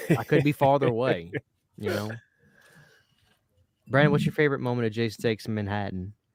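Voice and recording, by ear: A man with a slight New York accent talks at a very fast pace in a medium pitch, with lively intonation and long, frequent pauses.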